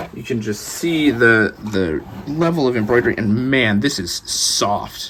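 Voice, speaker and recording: Noticeable background noise sits behind a man's voice. He speaks at medium pitch with lively intonation. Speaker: trading card game YouTuber, product reviewer. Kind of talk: product review, unboxing. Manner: casual with many fillers.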